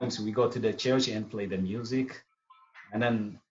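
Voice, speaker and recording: A man speaks at a fairly slow pace with an Eritrean accent. Music plays in the background. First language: Tigrinya. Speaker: artist and musician. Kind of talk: interview. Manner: halting.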